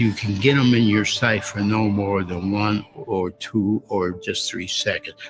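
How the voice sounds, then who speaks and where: Music plays in the background as a man with an American accent talks fairly slowly in a fairly low pitch. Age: 90s. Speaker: war veteran, fighter pilot. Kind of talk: interview answer, personal war memories.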